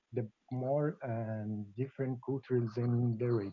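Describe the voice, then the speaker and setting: Very slowly and with fairly even intonation, a man with a non-native accent speaks at a medium pitch. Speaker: lawyer presenting a web radio project. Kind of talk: live video-call presentation. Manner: halting.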